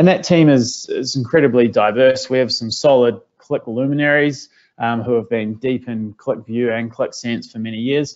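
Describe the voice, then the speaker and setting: Speaking at a moderate pace with hardly any pauses, a man uses a medium pitch and ordinary pitch variation. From New Zealand. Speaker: business software consultant. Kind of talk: webinar presentation. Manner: frequent filler words (uh, um).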